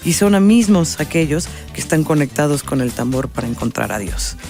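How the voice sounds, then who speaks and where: Music plays in the background as a woman speaks at a moderate pace with very wide pitch swings. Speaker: radio announcer and documentary film producer. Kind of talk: interview answer.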